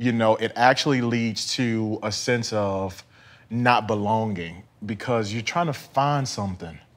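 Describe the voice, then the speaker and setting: A man at a moderate pace, with long, frequent pauses and ordinary pitch variation. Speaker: talk show host. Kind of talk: interview. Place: studio.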